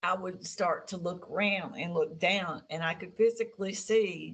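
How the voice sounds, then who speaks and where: An unremarkable speaking voice, this woman talks at a moderate pace and a medium pitch with ordinary pitch variation. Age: 60s. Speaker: experiencer of alien contact. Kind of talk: interview testimony.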